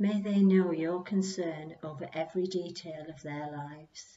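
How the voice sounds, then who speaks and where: A woman speaks at a fairly slow pace. Her voice is somewhat breathy, with fairly even intonation. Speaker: churchgoer leading prayers. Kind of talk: prayer reading. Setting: church.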